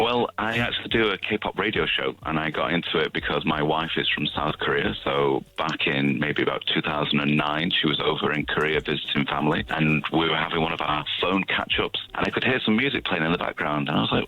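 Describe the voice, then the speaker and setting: Over noticeable background noise, a man with a very deep, low voice and a Manchester accent speaks at a fairly quick pace with hardly any pauses, very even loudness and ordinary pitch variation. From northern England, Manchester. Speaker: K-pop radio show host, interview guest. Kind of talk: radio interview.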